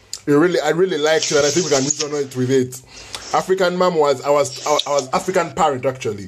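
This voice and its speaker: Over noticeable background noise, a man with a fairly high voice and ordinary pitch variation talks at a very fast pace. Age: 20s. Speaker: podcast host. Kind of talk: casual chat.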